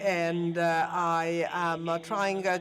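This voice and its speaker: With music in the background and audible room echo, a man speaks at a very slow pace. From northern Italy, Pordenone. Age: 20s. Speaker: university student, patient advocate. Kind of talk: conference opening speech. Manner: halting, many fillers.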